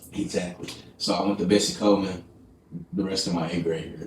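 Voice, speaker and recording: Amid noticeable background noise and audible room echo, a man speaks. He talks at a very fast pace with ordinary pitch variation. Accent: American. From Texas, small town near Dallas. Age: 20s. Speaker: podcast host. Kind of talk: casual interview.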